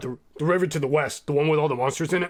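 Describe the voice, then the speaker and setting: A man puts on a raspy character voice, fairly high in pitch, and talks very fast. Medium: actual play. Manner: simple, speaks of himself in third person.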